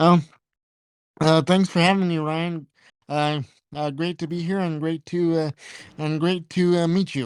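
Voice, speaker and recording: High-pitched man's voice, monotone and flat, at a fairly slow pace with long, frequent pauses, dry and close with no echo, very clean recording and a silent background. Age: 20s. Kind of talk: casual interview. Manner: halting, many repetitions and fillers.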